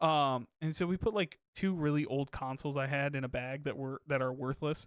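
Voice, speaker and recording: A man with a fairly high pitch speaks in fairly even intonation, the sound dry and close with no echo on a very clean recording over a silent background. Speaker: podcast host. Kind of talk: casual chat. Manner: fast.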